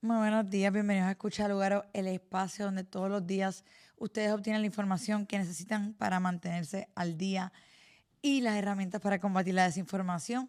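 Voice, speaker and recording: On a very clean recording with a silent background, a woman with a Puerto Rican accent speaks at a medium pitch. Her delivery is fairly quick and monotone, with flat intonation. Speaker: news podcast host. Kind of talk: news commentary.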